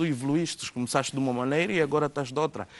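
The man speaks with ordinary pitch variation. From Angola. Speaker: DJ and music producer; DJ. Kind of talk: interview; interview answer. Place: studio.

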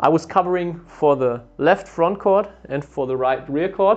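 Moderate speed and ordinary pitch variation from a male speaker. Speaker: badminton coach. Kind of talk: tutorial. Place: studio. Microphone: lapel.

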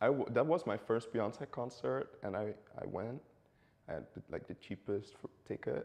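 A man at a fairly slow pace with long, frequent pauses. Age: 20s. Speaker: student. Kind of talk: casual chat. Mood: relaxed, chatty. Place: studio.

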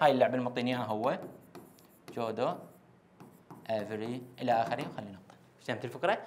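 A man with an Iraqi accent speaks at a fairly quick pace. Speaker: English teacher; teacher. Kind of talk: lecture. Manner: repetitive, emphatic. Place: classroom. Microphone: lapel.

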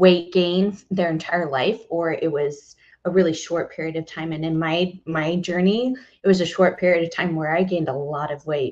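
Over a quiet background, a woman with an American accent and an unremarkable speaking voice talks at a moderate pace, her fairly low pitch moving in fairly even intonation. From Texas. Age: 30s. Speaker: fitness coach. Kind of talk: interview. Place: home room. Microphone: headset.

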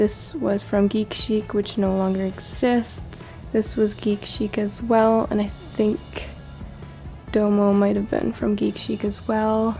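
Very slow is the pace of this woman's speech. In the background, music plays faintly. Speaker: room tour vlogger. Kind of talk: casual show-and-tell tour. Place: home room.

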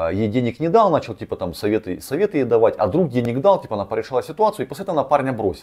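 Speaking very fast with a fairly high pitch, a man uses a dark, mellow tone with vocal fry and very wide pitch swings. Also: quiet background. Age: 30s. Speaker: relationship blogger and coach; psychology blogger. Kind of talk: video commentary on a viewer's story. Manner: rambling, filler-heavy speech. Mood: casual, slightly ironic. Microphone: lapel.

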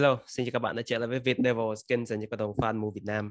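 This man speaks at a medium pitch, keeping his intonation fairly even. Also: quiet background. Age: 30s. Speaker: football fan channel host. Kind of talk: casual reaction commentary. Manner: halting with many fillers. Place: home room. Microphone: webcam.

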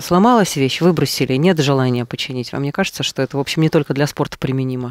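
A man speaks very fast in a dry sound with no echo, over a quiet background. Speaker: radio host. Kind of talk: radio interview. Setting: studio. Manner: formal. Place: studio. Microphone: studio mic.

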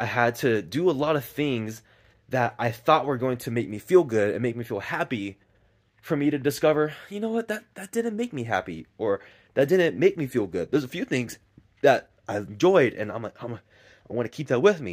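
A man's pitch swings very widely as he talks at a moderate speed against a quiet background. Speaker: vlogger. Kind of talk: casual vlog chat. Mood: reflective, earnest. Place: garden. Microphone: phone near.

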